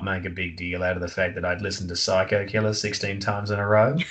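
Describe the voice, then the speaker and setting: With an Australian accent, a man speaks at a fairly quick pace in a fairly low pitch. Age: 30s. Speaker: author and comedian. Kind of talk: casual chat.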